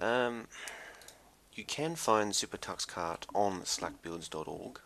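A soft-spoken man talks with ordinary pitch variation. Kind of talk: casual software tutorial narration.

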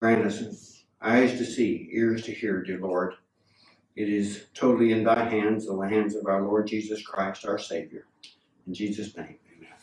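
A man's fairly low, monotone voice with flat intonation, at a moderate pace, with audible room echo. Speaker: pastor. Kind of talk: scripture reading and prayer. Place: church.

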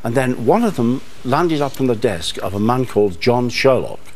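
A man's medium-pitched voice with a Manchester accent, lively intonation and a moderate pace. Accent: Manchester, northern English. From North West England. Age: 70s. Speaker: author. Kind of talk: TV studio interview answer. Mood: warm, lively storytelling. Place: studio. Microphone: lapel.

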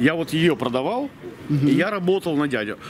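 A man with a Russian accent over noticeable background noise. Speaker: local small-business owner; interviewee. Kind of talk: street interview. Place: street. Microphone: camera far.

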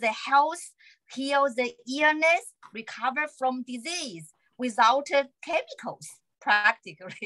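A woman with a Chinese accent speaks very slowly in a raised, projected voice with lively intonation. Her high-pitched tone is bright and sharp over a quiet background. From China. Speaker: acupuncturist. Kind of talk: interview conversation. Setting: video call. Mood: warm, cheerful. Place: home room. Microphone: video call.

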